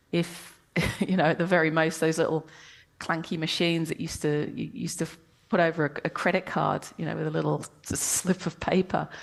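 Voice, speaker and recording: Over a quiet background, a woman with a British accent speaks with vocal fry. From England. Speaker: professor and science communicator. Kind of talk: interview. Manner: hesitant, many fillers.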